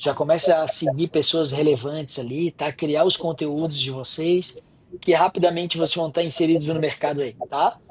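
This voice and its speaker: A man speaks in a fairly high pitch with a strong Florianópolis accent. His pace is moderate and his intonation fairly even, with noticeable background noise behind him. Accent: strong Florianópolis manezinho. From Florianópolis, Santa Catarina. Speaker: software entrepreneur and lecturer. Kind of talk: guest lecture remarks.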